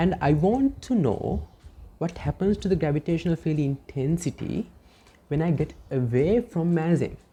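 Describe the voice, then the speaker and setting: A woman's very deep, low voice with a dark, mellow tone, vocal fry, very wide pitch swings and a moderate pace. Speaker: physics teacher. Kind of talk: lecture.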